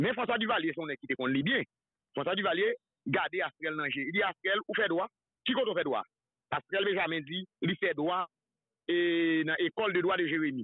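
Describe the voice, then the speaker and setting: A man with a high voice speaks at a moderate pace with long, frequent pauses and ordinary pitch variation, the sound dry with no echo over a quiet background. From Haiti. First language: Haitian Creole (speaking French). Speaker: political commentator. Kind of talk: political talk show discussion. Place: studio.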